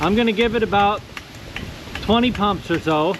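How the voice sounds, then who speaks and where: A man is shouting loudly in a high pitch with lively intonation. He keeps a moderate pace over noticeable background noise. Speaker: antiques and vintage lantern YouTuber. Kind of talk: casual vlog talk to camera. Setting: outdoors at night. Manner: loud, yelling over wind.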